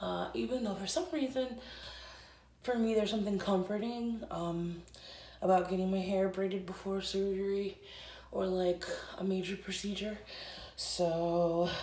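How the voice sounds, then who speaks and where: A woman speaks at a moderate pace and medium pitch, leaving long, frequent pauses. Audible room echo and noticeable background noise are present. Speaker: vlogger and congenital heart patient. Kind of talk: casual vlog talk. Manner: speaking quietly.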